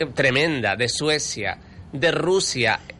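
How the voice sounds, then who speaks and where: Noticeable background noise surrounds a man who speaks at a fairly slow pace in a fairly high pitch with ordinary pitch variation. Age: 50. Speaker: radio technician and Eurovision fan. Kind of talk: casual chat.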